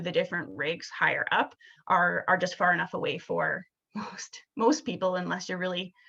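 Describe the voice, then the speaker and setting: A woman's bright, sharp tone in a Canadian accent. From Alberta, Canada. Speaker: museum staff presenter. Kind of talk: webinar presentation. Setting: online webinar. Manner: fast; halting, repeats words.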